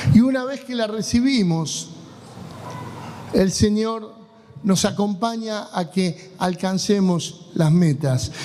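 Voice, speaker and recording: A man with a high voice speaks very slowly, with audible room echo and noticeable background noise. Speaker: pastor. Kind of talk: sermon.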